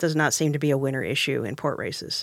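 A woman's voice, dry and close with no echo, on a very clean recording with a silent background. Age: 50s. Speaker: talk show host. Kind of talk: casual discussion. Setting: studio.

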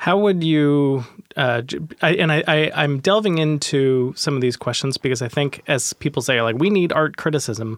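This is a normal speaking voice at a moderate pace. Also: man, fairly high pitch for a man, ordinary pitch variation. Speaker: podcast host. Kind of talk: casual interview. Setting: studio.

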